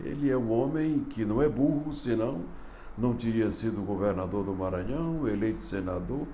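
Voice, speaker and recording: A man at medium pitch and moderate pace, with very wide pitch swings and audible room echo. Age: 70s. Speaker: political commentator. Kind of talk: opinion commentary.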